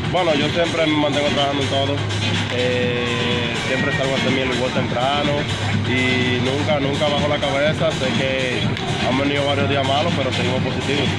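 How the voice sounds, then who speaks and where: Loud music plays behind a man talking at a moderate pace, and the sound is dry with no echo. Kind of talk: interview answer. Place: stadium. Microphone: phone near.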